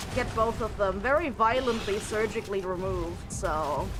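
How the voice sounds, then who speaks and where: A woman with a German accent speaks at a fairly high pitch and fairly slow pace with ordinary pitch variation, amid noticeable background noise and audible room echo. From Germany. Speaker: streamer. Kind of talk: casual live stream chat. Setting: live stream. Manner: halting, repeats words.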